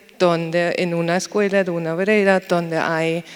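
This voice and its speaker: A woman with a fairly low pitch talks at a moderate pace in a monotone, flat intonation over noticeable background noise. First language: German (speaking Spanish). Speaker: university researcher. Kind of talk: panel discussion. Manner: slightly halting.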